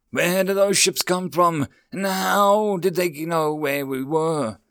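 In a shrill, high-pitched put-on character voice, a man speaks at a fairly slow pace. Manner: screeching.

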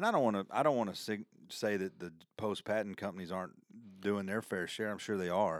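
Fairly low male speech with a Southern US accent, ordinary pitch variation and a fairly quick pace on a very clean recording with a silent background. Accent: Southern US, noticeable country. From US South. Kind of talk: casual interview conversation.

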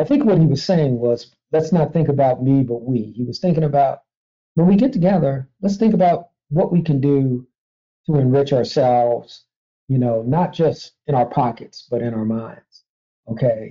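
A man with an American accent talks at a moderate pace in a fairly high pitch. He has an unremarkable speaking voice with lively intonation. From Washington, D.C. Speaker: university research vice president. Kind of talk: interview.

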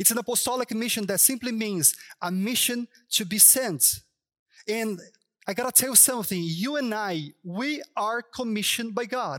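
With a Brazilian Portuguese accent, a man speaks at a high pitch and very even loudness in a very clean recording with a silent background. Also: lively intonation, moderate pace. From Brazil, Sao Paulo. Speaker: pastor. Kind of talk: sermon. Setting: church stage.

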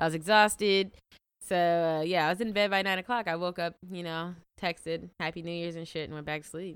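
A woman with an unremarkable speaking voice talks at a fairly quick pace. Her pitch is fairly low, with fairly even intonation. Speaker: podcast co-host. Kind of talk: casual chat.

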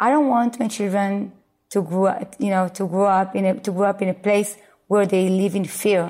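A woman speaks with fairly even intonation. Her loudness stays very even. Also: medium pitch for a woman, moderate pace. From Israel. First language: Hebrew. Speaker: Montessori school founder and educator. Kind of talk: interview. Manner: halting.

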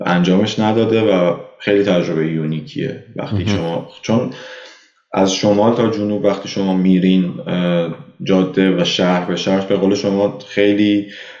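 A man's pitch moves in an ordinary way, and the room echo is audible. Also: fairly low pitch for a man, moderate pace. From Iran, Tehran. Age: 20s. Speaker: emigrant, former engineering student. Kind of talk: casual interview.

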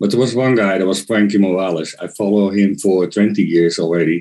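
A man with a Dutch accent speaks in a dark, mellow tone with a fairly low pitch and fairly even intonation. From Netherlands. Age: 40s. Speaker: kendama player. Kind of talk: casual interview chat. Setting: at home in the Netherlands.

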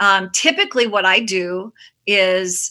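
A woman with an American accent, medium pitch, fairly even intonation and a bright, sharp tone. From Chicago, Hyde Park. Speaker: children's musician. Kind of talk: casual chat. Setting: video call.

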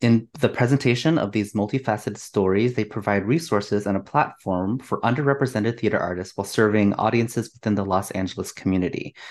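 A man's fairly low voice at a very fast pace, with ordinary pitch variation and hardly any pauses, over a quiet background. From Chinese-American. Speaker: podcast co-host and facilitator. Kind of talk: casual interview chat. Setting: video call.

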